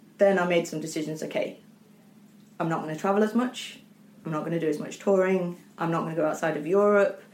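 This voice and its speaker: This woman's voice sits fairly low for a woman, with fairly even intonation and a very fast pace. Long, frequent pauses break it up, and the room echo is audible. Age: 30s. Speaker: orchestra manager and former professional horn player. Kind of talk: interview.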